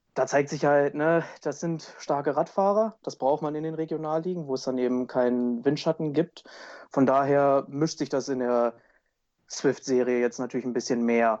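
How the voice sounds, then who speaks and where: Against a quiet background, a man uses a plain, everyday voice at a moderate pace, fairly high in pitch with ordinary pitch variation. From Wolfsburg, Lower Saxony. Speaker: triathlete. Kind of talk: casual chat.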